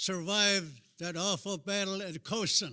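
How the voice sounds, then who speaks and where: A man with an American accent uses a raised, projected voice with a bright, sharp tone. He speaks at a fairly slow pace in a very clean recording with a silent background. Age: 90s. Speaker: war veteran. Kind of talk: speech.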